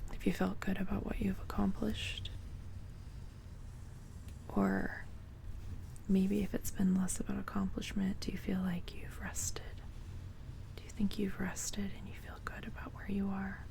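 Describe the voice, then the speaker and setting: Whispering at a moderate pace, broken by long, frequent pauses. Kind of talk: ASMR talk.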